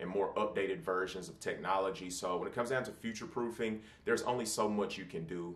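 A man at a very fast pace, fairly low in pitch with ordinary pitch variation, in audible room echo. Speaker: tech reviewer. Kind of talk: product review talk. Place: home room.

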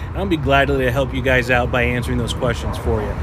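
A man talks at a very fast pace with very wide pitch swings. Noticeable background noise runs underneath. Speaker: food vlogger. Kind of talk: casual vlog chat. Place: street. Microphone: phone near.

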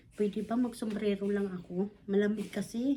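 A woman's animated voice at a moderate pace over noticeable background noise. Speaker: vlogger. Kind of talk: casual vlog narration.

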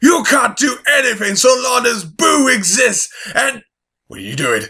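Using a put-on character voice, a man speaks in a raised, projected voice at a fairly slow pace. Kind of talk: fan voice-over audition. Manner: menacing, gloating.

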